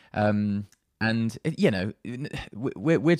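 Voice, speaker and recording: A man with a British accent speaks at a fairly low pitch with ordinary pitch variation, on a very clean, dry and close recording with a silent background and no echo. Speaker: composer. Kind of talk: casual interview chat.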